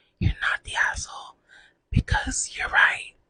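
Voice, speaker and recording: A woman is whispering. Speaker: ASMR artist. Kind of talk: ASMR reading of online post. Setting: close mini microphone. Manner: whispered.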